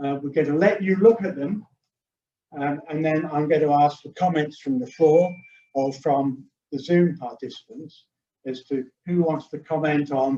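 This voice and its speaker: A man speaks at a moderate pace. His tone is dark and mellow, with ordinary pitch variation. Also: fairly high pitch for a man. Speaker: sailing judge and racing rules instructor. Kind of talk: training webinar lecture. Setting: hybrid Zoom webinar with a live room audience.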